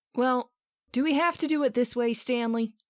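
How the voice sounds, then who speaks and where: Putting on a character voice, a woman sounds nervous and anxious at a high pitch, with a moderate pace, very even loudness and fairly even intonation. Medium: audio drama. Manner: nervous, anxious.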